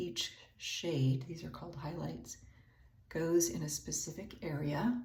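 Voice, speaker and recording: With audible echo in the room and noticeable noise behind her, a woman talks fairly slowly. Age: 60s. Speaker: beauty vlogger, retired teacher. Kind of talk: makeup tutorial. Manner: casual, hesitant with many 'um' fillers.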